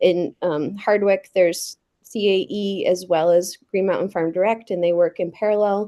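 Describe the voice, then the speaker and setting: With a dark, mellow tone, a woman speaks in fairly even intonation. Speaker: food hub representative. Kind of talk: committee testimony. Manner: fast.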